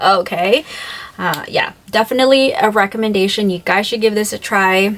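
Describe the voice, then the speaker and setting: A woman speaks with noticeable background noise. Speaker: beauty vlogger. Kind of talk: product review vlog. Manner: animated.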